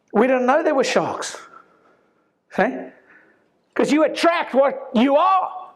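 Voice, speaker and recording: An animated man's voice with ordinary pitch variation and audible room echo. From South Africa. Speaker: chiropractor. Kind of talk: talk to an audience. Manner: loud.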